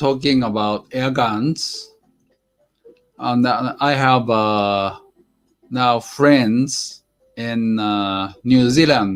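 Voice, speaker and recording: Very slow speech in a Japanese accent, with ordinary pitch variation, long, frequent pauses and music in the background. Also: man. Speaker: airgun hobby livestreamer. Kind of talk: casual live stream chat. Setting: live stream. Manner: halting, many fillers.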